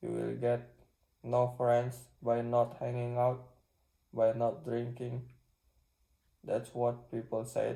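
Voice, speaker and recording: Very slowly, a man talks with a non-native accent. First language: not English. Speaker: self-improvement vlogger. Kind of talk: casual vlog monologue. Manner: halting.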